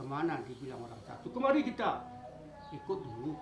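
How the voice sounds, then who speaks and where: Through noticeable background noise, a man with a fairly high pitch talks at a moderate pace. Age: old. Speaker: forest guard and storyteller. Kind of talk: interview answer.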